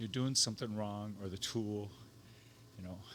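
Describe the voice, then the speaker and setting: The man speaks at a moderate pace. Audible room echo surrounds his voice. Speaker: woodworker. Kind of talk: casual chat.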